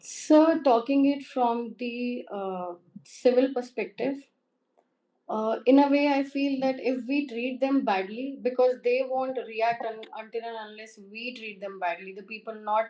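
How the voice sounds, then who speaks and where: With an Indian accent, a woman talks fairly slowly in a high pitch with a dark, mellow tone. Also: ordinary pitch variation, big swings in loudness. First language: Hindi. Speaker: interview candidate. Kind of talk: mock job interview. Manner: formal.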